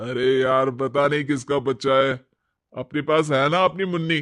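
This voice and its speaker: A man uses a cartoonish character voice at a medium pitch and a moderate pace. His intonation is fairly even and his loudness very even. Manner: dismissive, grumbling.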